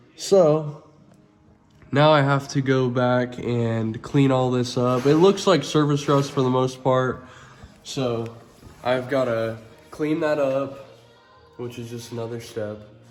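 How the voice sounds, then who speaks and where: A man talks at a very slow pace with long, frequent pauses and fairly even intonation. Audible room echo surrounds his voice. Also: medium pitch for a man. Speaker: auto body painter. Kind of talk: tutorial. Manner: casual.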